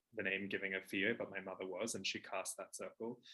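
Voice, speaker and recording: Bright, sharp tone from a man with an Australian accent, fairly low in pitch, at a moderate pace and with monotone, flat intonation. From Australia, Toowoomba, Queensland. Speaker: witchcraft teacher and author. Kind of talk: casual monologue. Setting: at home. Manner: hesitant with fillers.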